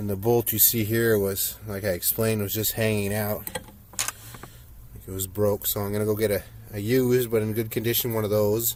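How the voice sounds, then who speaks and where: Over noticeable background noise, a man with a fairly low pitch talks at a moderate pace in a monotone, flat intonation. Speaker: car vlogger. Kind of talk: casual vlog. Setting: outdoors.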